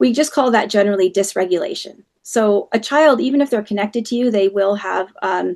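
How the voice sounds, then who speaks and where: With a plain, everyday voice, a woman speaks at a fairly quick pace and fairly high pitch, her intonation lively and hardly any pauses in between. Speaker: parenting educator. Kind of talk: webinar talk.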